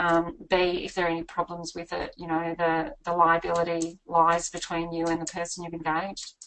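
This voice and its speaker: A woman with an Australian accent talks with hardly any pauses in a fairly low pitch, her intonation monotone and flat but with big swings in loudness. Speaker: buyer's agent and property author. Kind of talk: webinar presentation. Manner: fast.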